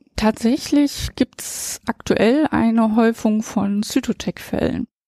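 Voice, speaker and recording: A dark, mellow, somewhat breathy voice at a very slow pace with fairly even intonation, in a dry, close sound with no echo. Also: woman. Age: 50s. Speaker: insurance expert, head of liability department. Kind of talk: interview.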